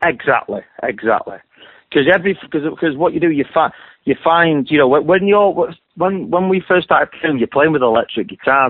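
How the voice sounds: Lively in intonation, a man speaks with a fairly high pitch. His voice carries a slightly husky edge at a moderate pace.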